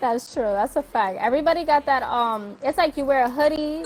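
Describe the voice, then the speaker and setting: A woman speaks at a moderate pace with a New York accent. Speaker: interview show host. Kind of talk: casual interview chat.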